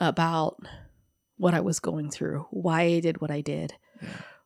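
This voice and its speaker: Against a silent background on a very clean recording, a woman speaks at a fairly low pitch with vocal fry, the sound dry and close with no echo. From Hawaii (Honolulu). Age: 30s. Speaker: guest sharing recovery story. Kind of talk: testimony. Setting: studio.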